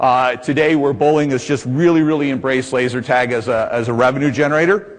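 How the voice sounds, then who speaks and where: With an American accent, a man talks at a very fast pace, medium pitch and ordinary pitch variation amid noticeable background noise. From US Midwest, Indianapolis. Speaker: laser tag business executive, seminar presenter. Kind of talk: trade seminar presentation. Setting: conference room with audience. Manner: loud; animated.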